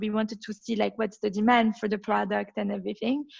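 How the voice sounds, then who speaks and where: A woman with a French accent speaks fairly quickly at a fairly high pitch. Her voice is somewhat breathy. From Belgium. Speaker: entrepreneur. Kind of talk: interview.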